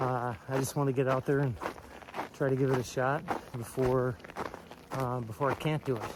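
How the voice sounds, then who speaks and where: At a moderate pace, a man with a fairly high pitch talks in a relaxed tone amid noticeable background noise. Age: 60s. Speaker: hiker vlogger. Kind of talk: casual vlog talk to camera. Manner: relaxed, with many fillers.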